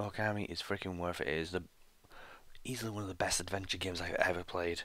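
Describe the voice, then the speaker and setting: Quiet and very fast, a man with a British accent talks in a very deep, low pitch, his tone bright and sharp and his intonation fairly even. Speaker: gaming YouTuber. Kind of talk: live reaction commentary. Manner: quiet, keeping voice down; hesitant with fillers.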